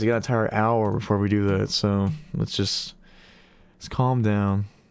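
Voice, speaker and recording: Music in the background behind a man's voice. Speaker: streamer. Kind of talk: casual chat. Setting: live stream. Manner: rambling, casual.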